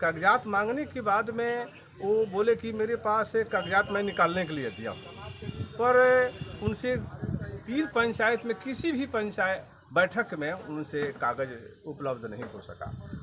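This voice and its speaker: Over noticeable background noise, a man with a high pitch speaks in a raised, projected voice with very wide pitch swings. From Bihar, Saran district. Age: 60s. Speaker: landowner in a land dispute, retired lecturer and insurance agent. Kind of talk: interview testimony.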